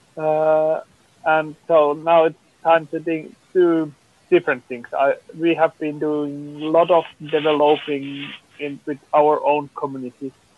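At a fairly slow pace, a man with a Finnish accent speaks in a fairly high, flat monotone. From Finland. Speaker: film producer. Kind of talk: panel discussion.

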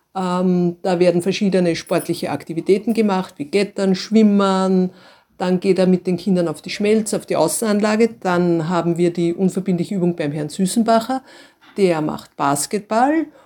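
Speaking at a medium pitch, a woman has a dark, mellow tone and ordinary pitch variation. Her pace is moderate, and the recording is very clean with a silent background. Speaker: school principal. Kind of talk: interview answers.

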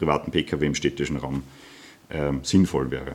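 A man speaks at a moderate pace. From Austria, Wachau (Lower Austria). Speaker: mobility researcher and entrepreneur. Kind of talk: lecture. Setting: parish hall with audience. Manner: halting, many fillers.

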